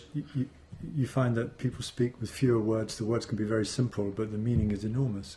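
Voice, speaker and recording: A man's plain, everyday voice, fairly even in intonation, at a fairly quick pace. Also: medium pitch for a man. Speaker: podcast host. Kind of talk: podcast interview.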